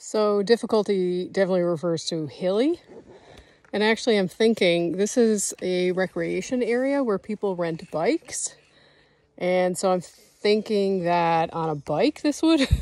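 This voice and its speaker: The delivery comes at a fairly slow pace with lively intonation. The sound is dry, with no echo. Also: woman. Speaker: solo travel vlogger. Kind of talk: casual vlog chat. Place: forest. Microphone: phone near.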